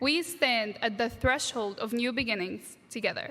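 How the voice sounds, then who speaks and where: This woman's voice sits high in pitch. Her tone is bright and sharp. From Egypt, Alexandria, moved to US at 13. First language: Arabic. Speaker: graduate student speaker. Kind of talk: commencement speech. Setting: stage with audience, graduation ceremony.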